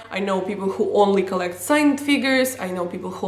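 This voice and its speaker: A woman talks at a very fast pace in an animated tone, with audible room echo and noticeable background noise. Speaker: wrestling vlogger. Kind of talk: casual vlog countdown.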